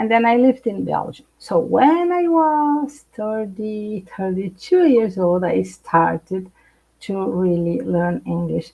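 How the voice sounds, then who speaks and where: A woman speaks at a very slow pace. She has a non-native accent. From Brazil. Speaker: psychologist. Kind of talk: interview. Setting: live stream.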